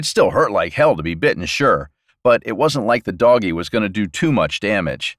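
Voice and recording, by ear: With a quiet background, the recording presents reading aloud in a natural voice.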